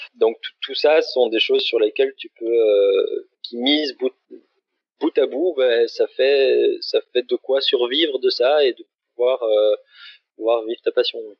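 The man talks very slowly. Long pauses come often. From Belgium. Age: 30s. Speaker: ultra-distance cyclist. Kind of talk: interview.

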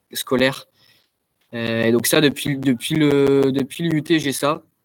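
This man's intonation is monotone and flat. His pitch sits in the medium range. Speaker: student athlete, tennis player. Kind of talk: interview. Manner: halting, many repetitions and fillers.

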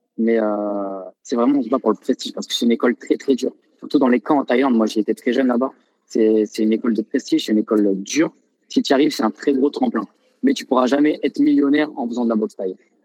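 This man speaks very fast. His voice sounds dry and close, without any echo. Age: 20s. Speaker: professional Thai boxer. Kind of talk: casual interview.

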